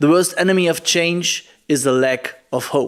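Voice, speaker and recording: Fairly even intonation marks a high-voiced man speaking with a German accent. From Germany. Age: 20s. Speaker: poetry slammer and climate activist. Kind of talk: prerecorded video keynote. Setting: recorded remotely in Germany.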